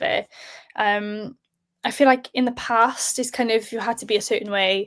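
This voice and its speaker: A woman speaks in a South Welsh accent. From South Wales. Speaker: sports presenter. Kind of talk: podcast interview. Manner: hesitant, many fillers.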